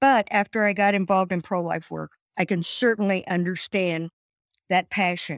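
Speaking at medium pitch with ordinary pitch variation, a woman has a Midwestern American accent. The sound is dry and close with no echo, on a very clean recording with a silent background. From US Midwest, Indiana. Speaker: pro-life advocate. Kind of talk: interview.

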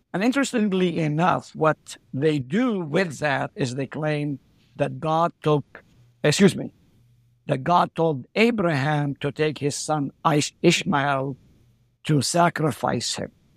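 The recording is very clean, with a silent background and a dry, close sound free of echo. A man with a fairly high pitch talks at a very slow pace. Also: ordinary pitch variation. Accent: Arabic. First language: Arabic. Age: 60s. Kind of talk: interview.

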